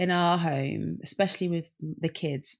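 In a British accent, a woman with a fairly low pitch speaks fairly slowly and with fairly even intonation, recorded very cleanly against a silent background. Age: 30s. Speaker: singer and children's author. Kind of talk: casual interview chat.

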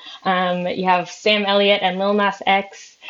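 Fairly slow speech from a woman of medium pitch, with noticeable background noise. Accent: American. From Minnesota. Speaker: news reporter. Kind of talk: casual chat.

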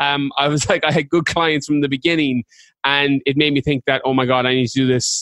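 A man with a fairly high voice speaks very fast in a flat monotone, recorded dry and close with no echo. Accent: Irish. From west of Ireland. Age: 30s. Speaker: fitness coach and mindset speaker. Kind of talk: casual chat.

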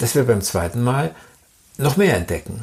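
A man's voice has a dark, mellow tone with vocal fry. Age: 70s. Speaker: author and illustrator. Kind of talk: interview.

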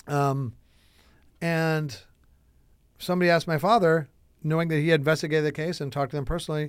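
A man with an American accent at a very fast pace, fairly high in pitch, with long, frequent pauses, in a very clean recording with a silent background. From US Midwest, Chicago. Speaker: entrepreneur, son of a UFO researcher. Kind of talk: casual interview.

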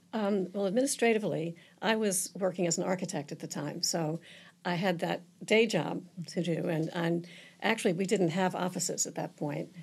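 Using a normal speaking voice, a woman talks at a moderate pace with a fairly low pitch and ordinary pitch variation. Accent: American. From Virginia peninsula, US. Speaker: nonprofit co-founder and board member. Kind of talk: interview. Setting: studio.

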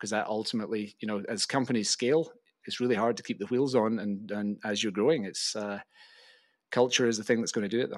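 Someone with a Glaswegian accent speaks at a very fast pace with fairly even intonation, in a very clean recording with a silent background. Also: man, fairly low pitch for a man. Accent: Glaswegian Scottish. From Scotland, Glasgow. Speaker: venture investor and podcast host. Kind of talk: interview conversation.

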